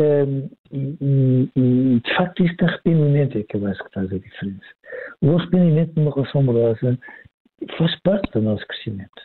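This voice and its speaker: A man with a fairly high voice talks at a fairly quick pace with lively intonation, broken by long, frequent pauses. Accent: European Portuguese. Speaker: psychologist. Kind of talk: expert commentary in casual chat. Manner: hesitant, repeats words.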